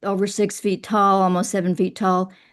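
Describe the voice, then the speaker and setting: Someone speaks at a fairly slow pace in a Southern US accent. The background is quiet. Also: woman. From Kentucky. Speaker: writer and poet. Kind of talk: interview.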